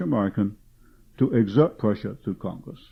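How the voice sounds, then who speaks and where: A man with a British accent. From England, London. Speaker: author and researcher. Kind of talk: public lecture. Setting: meeting with audience.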